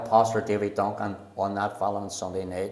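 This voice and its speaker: Against noticeable background noise, a man with a Belfast accent speaks at a fairly quick pace. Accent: Belfast Northern Irish. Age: 70s. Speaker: pastor. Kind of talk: testimony. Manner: halting.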